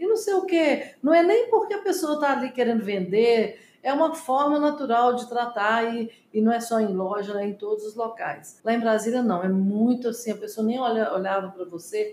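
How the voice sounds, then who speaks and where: Lively intonation marks a woman's speech. She keeps to a moderate pace. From Brazil, Minas Gerais (Belo Horizonte). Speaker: businesswoman, company co-founder. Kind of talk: interview.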